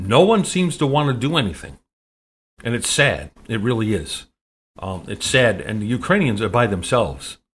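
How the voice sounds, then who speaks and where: The voice carries an American accent and vocal fry, with very wide pitch swings at a moderate pace. The recording is very clean, with a silent background. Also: man, medium pitch for a man. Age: 60s. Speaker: talk radio host. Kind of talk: political commentary monologue. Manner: halting, many fillers.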